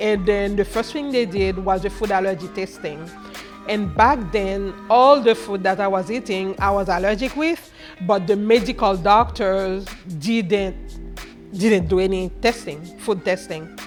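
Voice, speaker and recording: With music in the background, a woman speaks in a Haitian accent at a fairly slow pace. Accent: Haitian Creole. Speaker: chef and food business owner. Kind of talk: interview answer.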